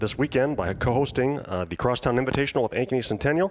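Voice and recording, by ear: A man speaking quickly at a medium pitch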